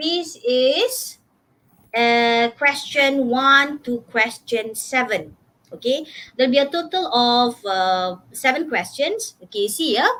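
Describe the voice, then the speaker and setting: Loud and high-pitched, a woman speaks at a very slow pace with lively intonation. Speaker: English teacher. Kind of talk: workshop lecture.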